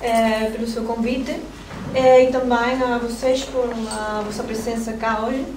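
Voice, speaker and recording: Over noticeable background noise, a woman with a Spanish accent speaks at a fairly high pitch in a monotone, flat intonation. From Spain. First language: Spanish (speaking Portuguese). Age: young. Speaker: archaeologist, researcher; doctoral researcher lecturer. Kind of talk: lecture. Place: classroom. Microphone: camera far.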